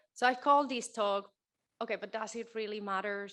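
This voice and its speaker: Delivery is at a moderate pace with fairly even intonation. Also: woman. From Spain. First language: Spanish. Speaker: keynote speaker, children's author. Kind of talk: keynote talk. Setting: stage with audience.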